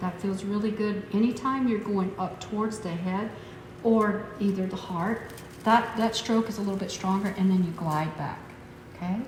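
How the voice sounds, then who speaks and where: With fairly even intonation, this woman talks at a moderate pace amid audible room echo and noticeable background noise. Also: medium pitch for a woman. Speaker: massage instructor. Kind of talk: tutorial.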